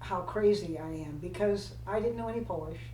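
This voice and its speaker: A woman's voice is heard with audible room echo. Noticeable background noise runs underneath. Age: 80s+. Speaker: retired flight attendant. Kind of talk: casual chat. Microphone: poor sound quality.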